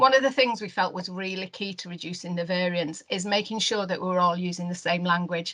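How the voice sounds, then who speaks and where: A woman speaks in a Lancashire accent with a bright, sharp tone and hardly any pauses. Her loudness swings widely. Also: medium pitch for a woman, ordinary pitch variation. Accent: Wigan. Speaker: neonatal care network lead. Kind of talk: webinar presentation. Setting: online webinar. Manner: halting, many fillers.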